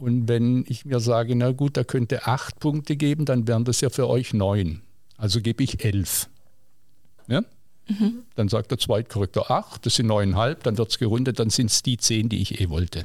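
A man speaks in an ordinary speaking voice at medium pitch and a moderate pace, with ordinary pitch variation. His loudness stays very even, and the recording is very clean with a silent background. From southwest Germany, Villingen (Baden-Württemberg). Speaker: teacher. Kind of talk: casual interview.

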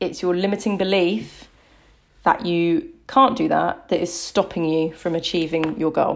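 The speaker has an ordinary speaking voice with ordinary pitch variation at a fairly slow pace. The recording is very clean, with a silent background. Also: woman, fairly low pitch for a woman. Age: 30s. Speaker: fitness and body confidence coach, podcast host. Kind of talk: solo podcast talk. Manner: conversational with frequent fillers.

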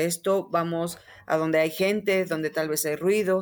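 A woman with a plain, everyday voice and a fairly low pitch talks at a fairly slow pace with fairly even intonation, on a very clean recording with a silent background. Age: 30s. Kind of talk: interview conversation.

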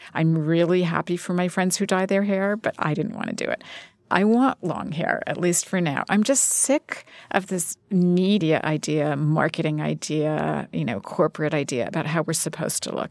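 Fairly low in pitch, a woman speaks in an ordinary speaking voice with ordinary pitch variation. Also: moderate pace, dry, close sound with no echo. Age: 50s. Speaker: magazine editor and author. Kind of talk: interview. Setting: studio.

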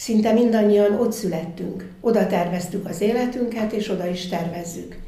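Against noticeable background noise, a woman talks at a moderate pace and medium pitch with fairly even intonation. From Göcsej, Zala County, Hungary. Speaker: festival organiser. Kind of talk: interview. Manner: halting.

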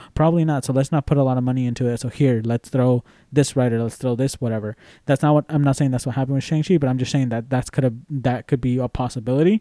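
Very fast speech in a Spanish accent, dark and mellow in tone, with fairly even intonation and a dry, close sound with no echo in a very clean recording over a silent background. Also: man, medium pitch for a man. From Mexican background. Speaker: podcast co-host. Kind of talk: casual chat. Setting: recording studio.

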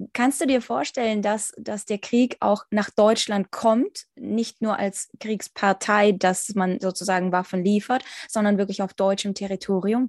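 A woman speaks fairly slowly in a normal speaking voice with fairly even intonation, the sound dry and close with no echo against a quiet background. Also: medium pitch for a woman. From Ukraine. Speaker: podcast host. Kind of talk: interview.

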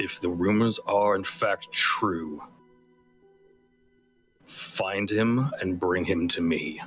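A man puts on a booming character voice with a fairly low pitch, speaking at a very slow pace with long, frequent pauses. His loudness stays very even over faint music in the background. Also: ordinary pitch variation. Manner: commanding.

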